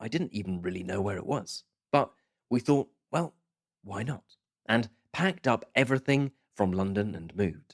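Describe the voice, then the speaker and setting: A man with a British accent speaks at a medium pitch and moderate pace, with lively intonation. He leaves long, frequent pauses, and the sound is dry and close, with no echo. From southern England and Scotland. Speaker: podcast host. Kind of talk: podcast monologue. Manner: clear, measured pace for learners.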